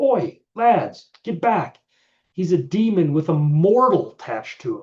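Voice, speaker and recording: In a put-on character voice, a man bellows at a high pitch and a fairly slow pace. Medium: read story. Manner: gruff, blunt, common.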